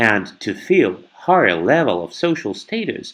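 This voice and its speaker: Against a quiet background, a man speaks. His pace is very slow. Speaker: NLP trainer / guest expert. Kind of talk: podcast interview answer.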